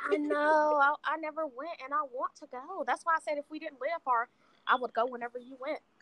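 A woman uses a raised, projected voice with a bright, sharp tone and high pitch, her loudness swinging widely. Her intonation stays fairly even at a fairly quick pace, and the sound is dry and close with no echo. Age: 20s. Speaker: podcast assistant and promoter. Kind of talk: casual chat.

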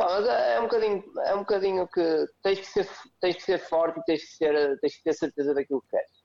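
This man's high-pitched voice has a dark, mellow tone, moving at a moderate pace with big swings in loudness. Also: ordinary pitch variation. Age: 30s. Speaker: CrossFit coach. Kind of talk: podcast interview.

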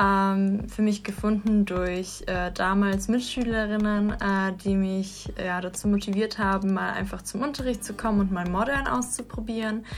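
A woman's somewhat breathy, medium-pitched voice at a moderate pace, with fairly even intonation. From Russia, St. Petersburg. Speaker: dancer. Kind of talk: casual chat. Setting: studio.

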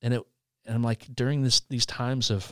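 A man talks with a Midwestern American accent. The sound is dry and close, with no echo. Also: very clean recording, silent background. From Indiana, US Midwest. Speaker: podcast network co-founder. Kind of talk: personal testimony. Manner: halting, frequent repetitions.

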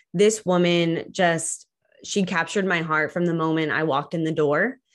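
Against a quiet background, a woman with an ordinary speaking voice talks at a fairly low pitch with fairly even intonation. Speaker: cancer survivor and advocate. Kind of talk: interview.

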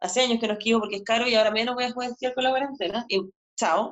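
A woman at a very fast pace. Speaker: psychologist and podcast host. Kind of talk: casual interview chat.

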